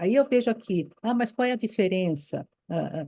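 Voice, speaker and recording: The voice is somewhat breathy, with a dark, mellow tone and a fairly slow pace. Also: woman. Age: 70s. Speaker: retired Waldorf teacher, course participant. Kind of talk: impassioned comment in group discussion. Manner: animated, emphatic; halting, repeats words.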